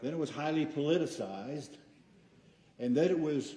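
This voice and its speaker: A man's dark, mellow voice at a moderate pace, with ordinary pitch variation and audible room echo. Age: 70s. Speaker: public commenter at school board meeting. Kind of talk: public comment speech. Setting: school board meeting.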